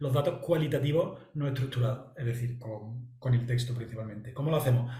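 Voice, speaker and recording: In an Andalusian accent, a man speaks with audible room echo. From Andalusia, southern Spain. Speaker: analyst and trainer presenting a software platform. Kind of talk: presentation. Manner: halting, many fillers and repetitions.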